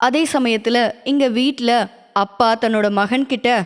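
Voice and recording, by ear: A woman speaks at a slow pace and a fairly high pitch. Her pitch varies in an ordinary way.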